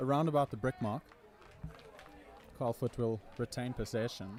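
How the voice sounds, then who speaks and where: Intonation stays fairly even, with long, frequent pauses. Noticeable background noise is audible. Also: man. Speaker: sports commentator. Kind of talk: live commentary. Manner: stutter.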